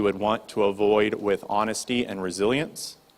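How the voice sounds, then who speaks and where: The voice is a man's, at a medium pitch. His intonation stays fairly even. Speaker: Bible study leader. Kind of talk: group discussion. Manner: fast.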